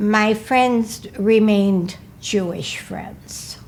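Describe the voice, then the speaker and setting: At a very slow pace, a woman talks in a medium pitch with a somewhat breathy voice. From US Midwest, Milwaukee, Wisconsin. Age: 80s+. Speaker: senior interviewee, oral history. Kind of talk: oral history interview.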